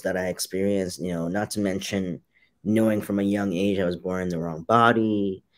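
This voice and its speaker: Fairly even intonation and a moderate pace mark this very clean recording with a silent background. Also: man. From Hong Kong, moved to New York around age seven. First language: Cantonese. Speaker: fashion designer and activist. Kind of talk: interview.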